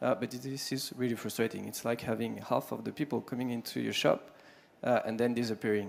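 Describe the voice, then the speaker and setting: At a fairly quick pace, a man speaks with a French accent. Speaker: sales executive. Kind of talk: conference pitch. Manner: halting.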